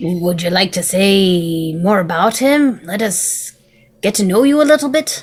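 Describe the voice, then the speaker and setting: A put-on character voice, female-sounding, at a medium pitch for a woman and a moderate pace. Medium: actual play. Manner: warm, gentle.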